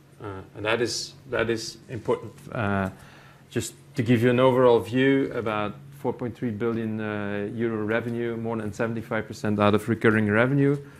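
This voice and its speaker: A man with a medium pitch keeps a monotone, flat intonation while talking at a moderate pace. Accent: Flemish. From Belgium. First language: Dutch. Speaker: company IT executive. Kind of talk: conference presentation. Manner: halting, many fillers.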